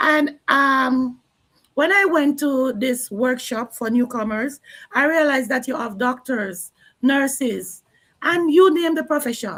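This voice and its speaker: In a Jamaican accent, a woman speaks in a high voice with ordinary pitch variation. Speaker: online business owner and early childhood educator. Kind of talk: live stream interview.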